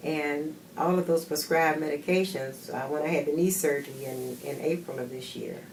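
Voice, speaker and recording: A woman's very deep, low voice with ordinary pitch variation at a moderate pace, with audible room echo and noticeable background noise. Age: 70s. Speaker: patient giving a testimonial. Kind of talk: testimony.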